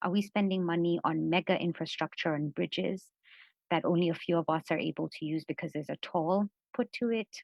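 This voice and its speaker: Her pitch fairly low and her intonation fairly even, a woman talks at a fairly quick pace. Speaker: women's rights economic policy advocate. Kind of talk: panel discussion on video call. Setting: online video call. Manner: fast.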